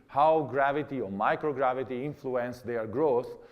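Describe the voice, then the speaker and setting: This man talks at a moderate pace, with audible room echo around his voice. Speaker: astronaut giving a lecture. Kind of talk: lecture. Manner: halting, many fillers and repeats.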